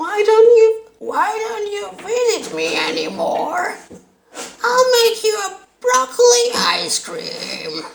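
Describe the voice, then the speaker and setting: A put-on character voice, female-sounding and extremely high in pitch. It moves at a very slow pace. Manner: nagging, guilt-tripping.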